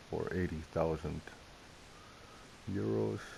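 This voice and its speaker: Speaking fairly slowly with a non-native accent, a man has a very deep, low pitch and ordinary pitch variation. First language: not English. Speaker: gaming video creator. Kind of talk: gameplay commentary. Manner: casual, self-talking.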